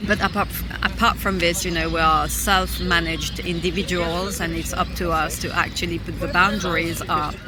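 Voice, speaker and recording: A woman at a moderate pace with hardly any pauses, music in the background and audible room echo. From London, England. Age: 30s. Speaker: traveller. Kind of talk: interview. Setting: outdoors.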